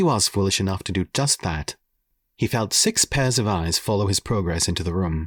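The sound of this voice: In an unforced reading voice, the speaker uses lively intonation over a quiet background.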